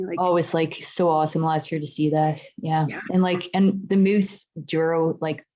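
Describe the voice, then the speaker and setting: A woman with a plain, everyday voice, fairly low pitch, a moderate pace and hardly any pauses. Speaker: mountain bike guide and coach, interview host. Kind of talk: casual interview hosting. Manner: upbeat.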